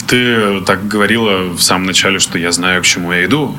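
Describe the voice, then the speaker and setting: With a very deep, low pitch and ordinary pitch variation, a man talks at a fairly quick pace. Noticeable background noise and audible room echo fill the recording. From Russia, Izhevsk. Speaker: podcast host. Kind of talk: casual chat.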